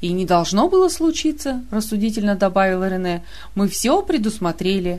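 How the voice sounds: The clip features a natural reading voice. It stays that way from start to finish.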